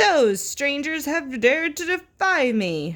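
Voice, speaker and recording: A woman's put-on character voice, shrill and high-pitched, at a fairly slow pace. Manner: screeching, shrill.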